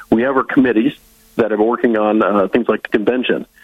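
A man speaks with an Upper Midwest accent. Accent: Upper Midwest American. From Northwest Iowa (Lyon County). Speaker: political party director. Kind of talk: interview.

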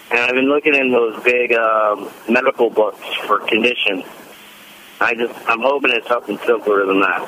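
A man at a medium pitch, fairly even in intonation and very even in loudness, with noticeable background noise. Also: moderate pace. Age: 40s. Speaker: caller with muscle cramps. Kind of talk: phone-in question. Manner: halting, many fillers.

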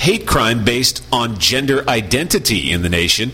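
Noticeable background noise sits under a man's voice. He speaks at a moderate pace with lively intonation. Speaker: radio newscaster. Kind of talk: news reading. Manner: crisp, formal.

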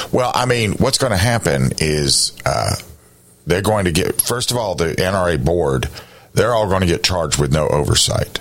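A man with a very deep, low pitch speaks at a moderate pace, with very wide pitch swings and very even loudness. Noticeable background noise runs underneath. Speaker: radio talk show host. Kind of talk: radio interview.

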